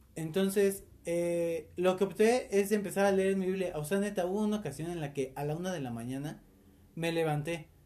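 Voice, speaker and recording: A man's high-pitched voice with a dark, mellow tone, ordinary pitch variation and a moderate pace. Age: 20s. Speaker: host's brother. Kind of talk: casual chat.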